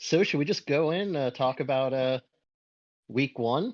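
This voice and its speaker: A man with an American accent has a plain, everyday voice at medium pitch. He talks at a moderate pace with ordinary pitch variation over a quiet background. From United States. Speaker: podcast co-host. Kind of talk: casual chat.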